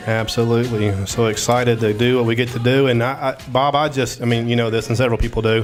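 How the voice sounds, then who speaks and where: A man at medium pitch rushes along very fast with hardly any pauses while music plays in the background. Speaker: show co-host. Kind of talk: casual chat. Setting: studio. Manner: animated; loud.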